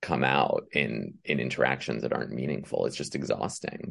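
A man at a moderate pace, his voice showing vocal fry. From Iran, then France and Canada. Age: 40s. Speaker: author and screenwriter. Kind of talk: casual chat.

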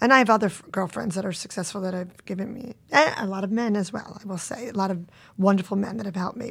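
A woman with an American accent speaks at a medium pitch in a very clean recording with a silent background. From Long Island, New York. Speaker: event agency CEO. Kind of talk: interview.

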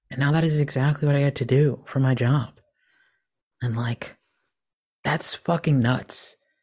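Against a quiet background, a man with an American accent speaks somewhat breathily at a moderate pace, with a fairly high pitch, fairly even intonation and long, frequent pauses. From US Texas. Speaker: indie musician. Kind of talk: casual interview chat. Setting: remote recording.

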